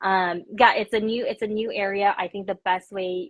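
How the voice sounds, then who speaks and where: At a moderate pace, this woman talks in a plain, everyday voice, her pitch varying in an ordinary way. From Korea until seven, then US. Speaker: tech company founder. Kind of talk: interview. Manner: casual, many filler words.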